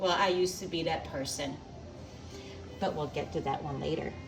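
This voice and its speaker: A woman speaks at a fairly low pitch. Music plays in the background, and room echo is audible. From Belgium. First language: not English (English is her third language). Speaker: home cook, cooking channel host. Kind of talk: cooking tutorial. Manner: casual, chatty.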